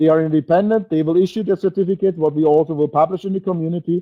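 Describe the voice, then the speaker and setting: A man with a German accent speaks at a very fast pace. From Germany. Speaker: network marketing presenter. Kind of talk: webinar sales presentation. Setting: webinar. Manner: halting; emotional.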